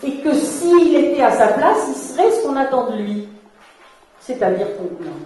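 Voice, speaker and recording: Amid noticeable background noise and audible room echo, a woman talks at a fairly slow pace in a high voice. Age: 60s. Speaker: therapist and workshop leader. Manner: halting.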